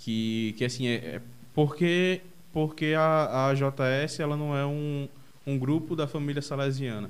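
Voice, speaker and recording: Here a man talks fairly slowly in a fairly high pitch. His intonation stays fairly even. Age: 20s. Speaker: podcast host. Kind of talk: casual chat. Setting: video call. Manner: halting.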